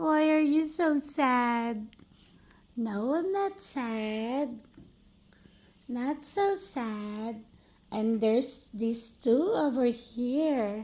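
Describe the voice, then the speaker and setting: The delivery is very slow, broken by long, frequent pauses. Its intonation is lively. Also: woman, high pitch for a woman. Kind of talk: casual talk to pets on camera. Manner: baby talk.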